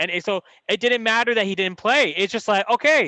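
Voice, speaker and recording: A man with a Californian accent speaks in a raised, projected voice with a bright, sharp tone and a dry, close sound with no echo. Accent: Californian American English. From San Francisco Bay Area, California. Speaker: podcast host, former football player. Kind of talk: podcast interview.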